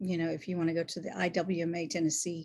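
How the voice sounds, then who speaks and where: A woman, fairly low in pitch, somewhat breathy, at a very fast pace. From Louisiana. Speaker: singer-songwriter. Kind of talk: casual chat.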